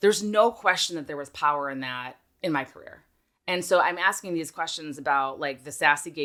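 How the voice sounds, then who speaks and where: A woman with an American accent, very deep and low-pitched, bright and sharp in tone, at a fairly quick pace with ordinary pitch variation, on a very clean recording with a silent background. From Minnesota, US Midwest. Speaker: podcast host. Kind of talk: casual interview chat.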